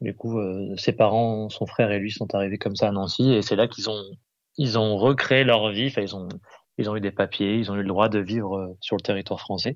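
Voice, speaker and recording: An ordinary speaking voice talks at a moderate pace with fairly even intonation. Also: man, fairly low pitch for a man. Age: 30s. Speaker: musician, percussionist. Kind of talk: casual chat. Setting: phone call.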